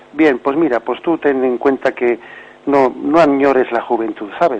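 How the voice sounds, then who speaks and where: The speaker talks at a moderate pace with ordinary pitch variation over noticeable background noise. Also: man. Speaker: bishop, catechism radio teacher. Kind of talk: radio catechesis talk answering caller.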